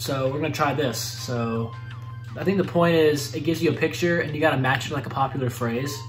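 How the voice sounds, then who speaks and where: A man's fairly quick speech with ordinary pitch variation and faint music in the background. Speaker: gaming youtuber. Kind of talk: commentary. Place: home room.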